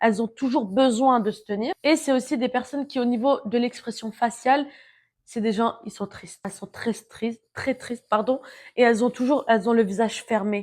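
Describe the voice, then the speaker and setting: The speaking is loud and animated at a moderate pace. The recording is very clean, with a silent background. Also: woman, fairly high pitch for a woman. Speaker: self-help vlogger. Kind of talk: casual monologue.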